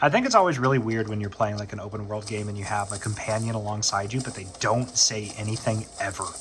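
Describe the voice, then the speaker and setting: Noticeable background noise sits behind a man with an American accent. He talks at a fairly quick pace with a fairly low pitch and fairly even intonation. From US South. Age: 20s. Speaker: gaming YouTuber. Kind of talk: gameplay commentary. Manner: casual, hesitant with fillers.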